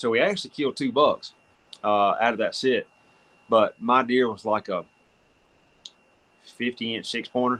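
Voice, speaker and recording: With a Southern US accent, a man talks at a moderate pace with long, frequent pauses, in a dry, close sound with no echo. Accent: Southern US (Georgia). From US South, North Georgia. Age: 40s. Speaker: hunter. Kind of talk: casual chat.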